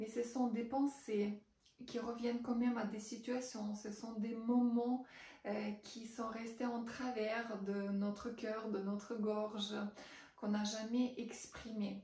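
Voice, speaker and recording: The speaker talks at a very slow pace in a monotone, flat intonation with a Russian accent. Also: woman. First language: Russian (speaking French). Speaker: writing coach. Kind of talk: promotional testimony. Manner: hesitant, many fillers.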